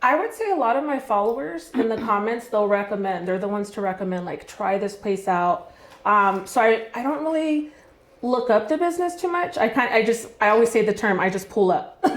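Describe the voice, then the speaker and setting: Loud, fairly quick speech with very wide pitch swings over noticeable background noise. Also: woman, fairly high pitch for a woman. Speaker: food vlogger. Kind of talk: casual chat.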